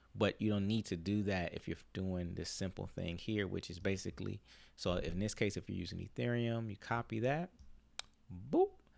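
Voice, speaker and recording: A man with a plain, everyday voice speaks at a moderate pace and a fairly low pitch, with ordinary pitch variation, on a very clean recording with a silent background. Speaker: crypto YouTuber. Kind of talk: tutorial. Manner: casual, filler-heavy.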